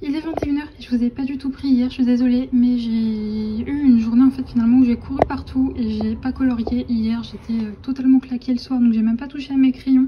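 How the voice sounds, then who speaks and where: Noticeable background noise sits behind a woman's high-pitched voice. She talks at a fairly quick pace with hardly any pauses, in a monotone, flat intonation. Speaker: vlogger. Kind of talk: casual vlog chat. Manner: hesitant, many fillers.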